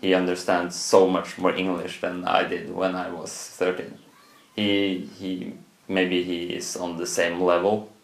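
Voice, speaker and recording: A man with a Norwegian accent speaks at a very deep, low pitch in a monotone, flat intonation and a fairly slow pace. Audible room echo and noticeable background noise are present. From Norway. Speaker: student. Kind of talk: interview. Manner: halting.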